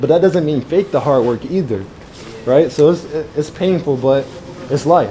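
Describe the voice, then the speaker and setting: Long, frequent pauses break up speech with ordinary pitch variation, set against noticeable background noise. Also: man, fairly high pitch for a man, moderate pace. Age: 20s. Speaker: trader hosting a community event. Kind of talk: casual Q&A at live event.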